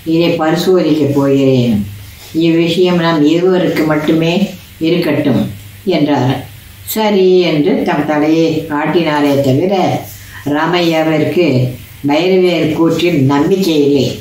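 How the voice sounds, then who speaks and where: A woman speaks with a very deep, low pitch and fairly even intonation. Her loudness stays very even, and audible room echo surrounds her. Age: old. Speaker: storyteller. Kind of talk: bedtime story narration. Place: home room. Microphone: phone near.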